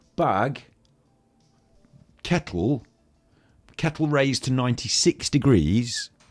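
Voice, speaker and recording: A very slow, lively-intoned delivery with long, frequent pauses, music in the background, and a dry, close sound with no echo. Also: man, medium pitch for a man. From Britain. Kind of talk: casual chat. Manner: animated.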